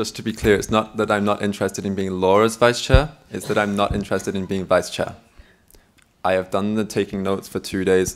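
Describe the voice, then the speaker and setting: Speaking at a fairly quick pace, a man keeps his fairly low voice in a monotone, flat intonation. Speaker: candidate for meeting chair at a student network assembly. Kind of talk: election Q&A at a meeting. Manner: loud.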